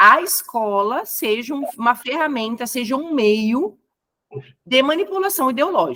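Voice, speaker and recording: In a Brazilian accent, the speaker talks fairly slowly with a bright, sharp tone and very wide swings in pitch. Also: woman. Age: 30s. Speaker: educator. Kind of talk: lecture.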